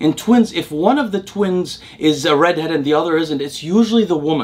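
A man's voice at a very fast pace, with very wide pitch swings. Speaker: science explainer host. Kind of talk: educational commentary. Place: home room.

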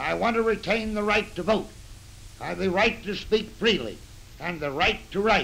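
Over light background noise, a man with an American accent and a high pitch uses a raised, projected voice at a moderate pace. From United States. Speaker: retired general testifying before a congressional committee. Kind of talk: 1930s newsreel statement. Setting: old newsreel recording. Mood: earnest, serious. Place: office.

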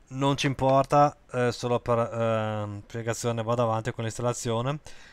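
On a very clean recording with a silent background, a man talks at a moderate pace and medium pitch with monotone, flat intonation. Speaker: web tutorial creator. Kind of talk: screen-recorded software tutorial. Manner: hesitant, many fillers (eh, ehm).

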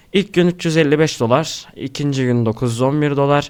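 In a very clean recording with a silent background, a man speaks at a very slow pace. His pitch is fairly high and his intonation fairly even. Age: young. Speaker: YouTube creator. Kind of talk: screen-recorded tutorial.

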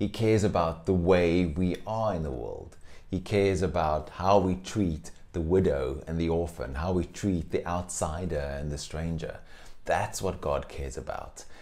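Here a man speaks with a dark, mellow tone and a very deep, low pitch. His pace is moderate and his pitch variation ordinary. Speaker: pastor. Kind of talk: sermon. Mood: warm, smiling. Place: home room. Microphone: lapel.

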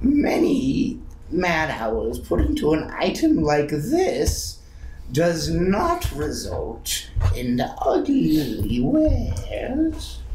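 A man in a put-on character voice at a very slow pace, with clear background noise. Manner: creepy, sly, repetitive.

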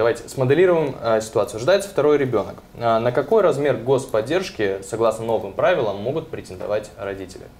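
Lively intonation runs through a normal speaking voice at a moderate pace. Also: man. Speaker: TV host. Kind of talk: TV talk show. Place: studio. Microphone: lapel.

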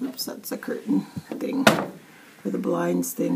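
Noticeable background noise runs through the clip. The voice belongs to a woman. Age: 60s. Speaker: vlogger. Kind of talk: casual vlog.

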